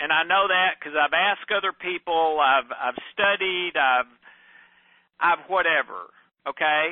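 A man talks loudly at a fairly slow pace, his high voice moving with ordinary pitch variation. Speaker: podcast host. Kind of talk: personal monologue. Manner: halting.

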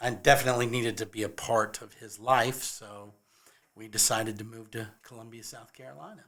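A man speaks at a moderate pace in an unremarkable speaking voice with fairly even intonation. The recording is very clean, with a silent background. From California. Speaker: handyman and musician. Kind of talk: casual chat.

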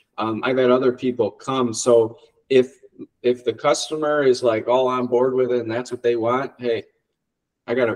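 A man talks at a moderate pace in an American accent. His medium-pitched voice has monotone, flat intonation. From Ohio, US Midwest. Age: 30s. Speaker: auto body and dent repair shop owner. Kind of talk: casual interview chat.

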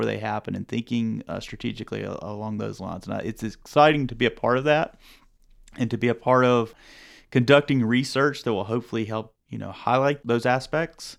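A man with a Southern US accent talks at a fairly quick pace with fairly even intonation, on a very clean recording with a silent background. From rural North Carolina. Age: young. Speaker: public health professor. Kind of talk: podcast interview. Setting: studio.

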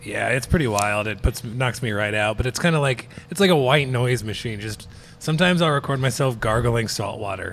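This man has a plain, everyday voice, medium in pitch, with ordinary pitch variation at a fairly quick pace. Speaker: stand-up comedian and podcast co-host. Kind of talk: casual chat. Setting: on location in a brewery.

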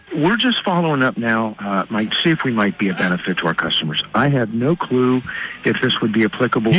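With lively intonation and very even loudness, a man speaks at a medium pitch over noticeable background noise. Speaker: bank telemarketer. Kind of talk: polite sales pitch. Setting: phone.

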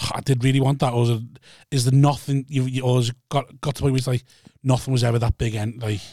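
Somewhat breathy and dark, mellow in tone, a man at medium pitch speaks with fairly even intonation. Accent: British. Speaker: podcast co-host. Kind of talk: casual banter.

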